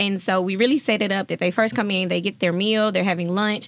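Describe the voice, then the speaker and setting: A woman with a Southern US accent speaks at a very fast pace, her medium pitch held in fairly even intonation. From Jackson, Mississippi. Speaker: leadership programs manager. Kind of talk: casual interview chat.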